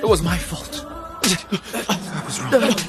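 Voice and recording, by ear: Over faint background music, a man puts on a character voice, high and fairly bright, with big pitch swings at a very slow pace.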